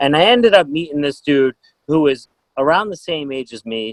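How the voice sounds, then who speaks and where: A normal speaking voice with an American accent moves at a fairly quick pace with lively intonation, in a dry, close sound with no echo. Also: man. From Massachusetts, Boston area. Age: 30s. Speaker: podcast host and band tour manager. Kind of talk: casual interview chat. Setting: video call.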